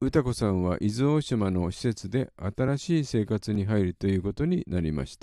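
A dark, mellow tone carries lively intonation at a moderate pace with hardly any pauses. The sound is dry and close with no echo, and the background is quiet. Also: man, fairly low pitch for a man. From Yokohama, Japan. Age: old. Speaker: podcast host, film fan. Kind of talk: prepared solo monologue.

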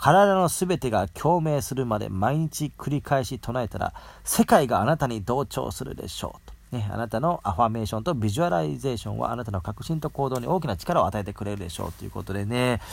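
Talking at a fairly quick pace, a man with a medium pitch sounds somewhat breathy as his pitch swings very widely. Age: 40s. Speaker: podcast host. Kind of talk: casual monologue with book reading. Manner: casual, many fillers.

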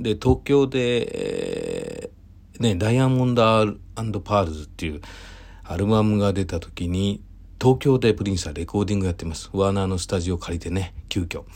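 Here is a normal speaking voice from a man with a fairly low pitch. He keeps a moderate pace with ordinary pitch variation. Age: 40s. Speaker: event producer. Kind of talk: solo talk monologue. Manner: relaxed, many fillers.

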